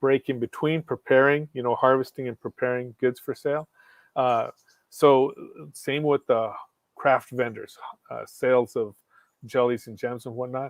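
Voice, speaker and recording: A man speaks at a moderate pace. His loudness swings in a big way. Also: medium pitch for a man. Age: 60s. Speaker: professor. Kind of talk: interview. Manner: energetic.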